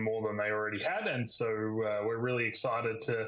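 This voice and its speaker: Against noticeable background noise, a man with an Australian accent speaks in a fairly low pitch with fairly even intonation. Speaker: webinar moderator, company executive. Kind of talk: webinar panel discussion. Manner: hesitant, many fillers.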